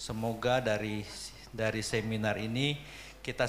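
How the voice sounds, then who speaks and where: A man speaks against light background noise. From Jakarta, Indonesia. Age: 60s. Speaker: speaker. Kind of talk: seminar lecture. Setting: seminar room with audience. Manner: animated. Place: hall. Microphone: handheld.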